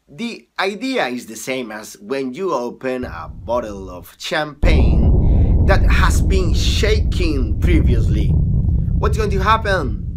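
Loud background noise surrounds a man speaking at a very slow pace. His loudness swings widely. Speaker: teacher. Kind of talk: lecture.

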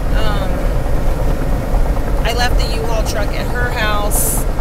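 A woman's voice sounds dry with no echo. Loud background noise runs underneath. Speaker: vlogger. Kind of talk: casual vlog chat. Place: car. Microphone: phone near.

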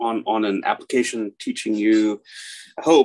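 A man talks fairly quickly. Nothing much is heard behind him. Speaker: speaker. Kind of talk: lecture. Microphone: video call.

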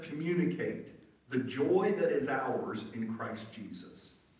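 A man's voice carries audible room echo. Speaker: preacher. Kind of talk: sermon. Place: church.

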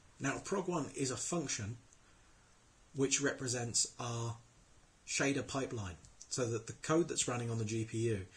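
Somewhat breathy and at medium pitch, a man talks with ordinary pitch variation and long, frequent pauses. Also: moderate pace. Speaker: programmer. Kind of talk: screencast tutorial. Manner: casual.

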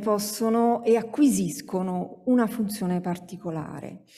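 The background stays quiet. Over it, a woman talks at a very slow pace. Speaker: sociologist, academic speaker; speaker. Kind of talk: conference talk. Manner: hesitant, many fillers. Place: hall. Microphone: podium.

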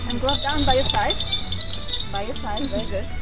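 With clear music in the background, the speaker talks at a fairly quick pace in a dry sound with no echo. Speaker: falconry instructor. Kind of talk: instruction. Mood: friendly, encouraging. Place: garden. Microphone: camera far.

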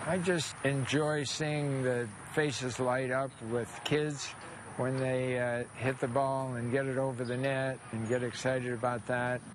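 This man speaks in a monotone, flat intonation. The sound is dry with no echo, though noticeable background noise is present. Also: fairly slow pace. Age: 80s+. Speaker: tennis player and coach. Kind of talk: interview answer. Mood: warm, proud, smiling. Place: open country. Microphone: lapel.

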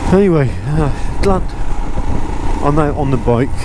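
Over noticeable background noise, a man speaks at a moderate pace with ordinary pitch variation, the sound dry with no echo. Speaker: motorcycle vlogger. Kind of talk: casual vlog chat. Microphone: helmet.

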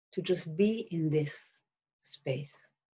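Against a quiet background, a woman speaks at a very slow pace with a somewhat breathy, dark, mellow tone and ordinary pitch variation. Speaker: spiritual healer and meditation guide. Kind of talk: guided meditation with visualization. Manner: slow, gentle, soothing flowing cadence; hesitant with many fillers when talking freely. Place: home room. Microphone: webcam.

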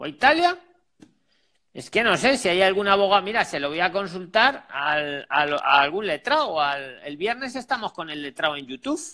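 Over a quiet background, a man in a raised, projected voice, high-pitched with a bright, sharp tone, moves at a moderate pace with very wide pitch swings and big swings in loudness. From Spain. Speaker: job advice channel host; channel host interviewing a guest. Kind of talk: live call-in consultation. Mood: reassuring, empathetic. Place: home room. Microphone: earbuds.

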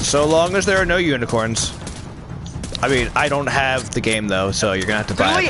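A man with a medium-pitched voice talks fairly quickly with very wide pitch swings, the sound dry with no echo but with noticeable background noise. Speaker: gaming channel host. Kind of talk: casual gaming chat with teammates.

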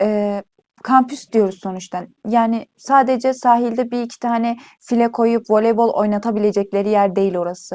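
A woman has a plain, everyday voice at a fairly high pitch. She keeps a moderate pace and fairly even intonation. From Turkey, Iğdır. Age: 20s. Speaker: university student. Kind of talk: casual interview.

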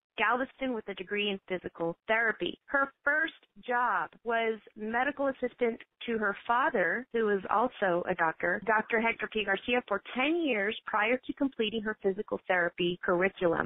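An unremarkable speaking voice in an American accent, at a moderate pace with ordinary pitch variation, dry with no echo, against a quiet background. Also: woman, fairly high pitch for a woman. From Texas, San Angelo; Texas. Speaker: radio host; radio show host. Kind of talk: radio interview; radio talk show hosting, introductions and interview questions.

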